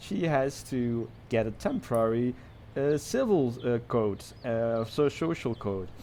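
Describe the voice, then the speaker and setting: A man speaks with a Dutch accent. His tone is dark and mellow. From Netherlands. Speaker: podcast co-host. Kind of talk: casual chat.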